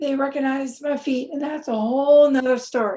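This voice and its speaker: Fairly even intonation from a woman with a high voice. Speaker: drunk-driving crash survivor and speaker. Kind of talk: testimony. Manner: halting.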